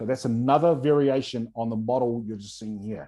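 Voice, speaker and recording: A man speaks with a New Zealand accent at medium pitch, his tone dark and mellow. His pitch varies in an ordinary way over a quiet background. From New Zealand, rural east coast of North Island. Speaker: entrepreneur and workshop presenter. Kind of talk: online workshop presentation. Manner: fast.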